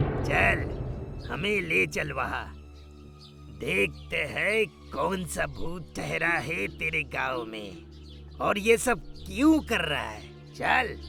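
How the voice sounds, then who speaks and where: A man puts on a raspy, cartoonish character voice and speaks at a very slow pace. Music plays clearly in the background. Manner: gruff, commanding, addresses others with blunt familiarity.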